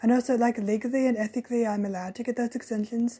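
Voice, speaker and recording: A woman talks at a very fast pace in a fairly high pitch, her tone dark and mellow. Her delivery is flat and monotone, with a somewhat breathy edge. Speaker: podcast host; early childhood education student. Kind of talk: casual podcast talk.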